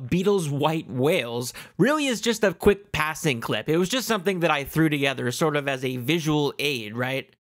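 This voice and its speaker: A man's animated, excited tone on a very clean recording with a silent background. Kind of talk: documentary voiceover. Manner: fast, animated, excited.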